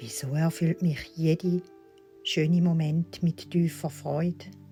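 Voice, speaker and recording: A woman's very deep, low voice at a very slow pace, with music in the background. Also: ordinary pitch variation. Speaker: meditation guide. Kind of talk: guided affirmation recording. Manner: soft, slow.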